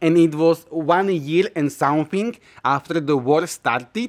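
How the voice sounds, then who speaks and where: This man's fairly high voice moves at a fairly slow pace. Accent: Slovak. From Slovakia. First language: Slovak. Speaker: YouTuber sharing personal experiences. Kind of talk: casual personal storytelling. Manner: hesitant, many filler uhs.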